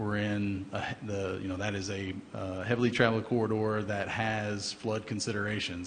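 A man talks at a fairly slow pace with a fairly low pitch and monotone, flat intonation. His voice is somewhat breathy, with audible room echo. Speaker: city engineer. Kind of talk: public meeting presentation. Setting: council chamber. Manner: hesitant, many fillers.

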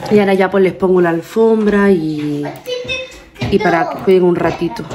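A woman talks at a fairly quick pace with ordinary pitch variation. There is light background noise. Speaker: family vlogger. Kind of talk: casual vlog chat. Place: home room. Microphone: phone near.

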